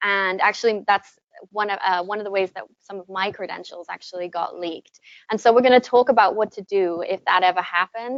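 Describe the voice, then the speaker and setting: A woman speaks at medium pitch and a fairly quick pace. Her intonation is fairly even, but her loudness swings a lot. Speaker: corporate trainer, workshop presenter. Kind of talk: presentation workshop. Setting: room with live audience, also streamed online. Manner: soft-spoken.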